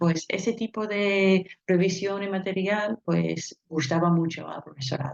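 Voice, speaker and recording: Talking at a fairly slow pace with hardly any pauses, a woman speaks with a non-native accent. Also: medium pitch for a woman, ordinary pitch variation. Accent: foreign accent in Spanish. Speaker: linguist and university language teacher. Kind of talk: conference presentation. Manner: hesitant, with fillers.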